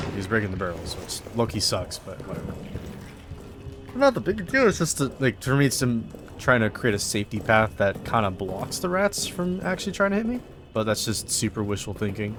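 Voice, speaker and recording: Over music in the background, a man at medium pitch talks at a fairly quick pace with lively intonation. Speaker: gaming YouTuber. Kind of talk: gameplay commentary.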